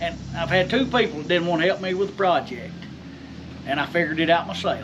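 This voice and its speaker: A man's high-pitched voice with an American accent, at a moderate pace, against noticeable background noise. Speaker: blacksmith. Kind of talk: casual shop talk. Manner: halting.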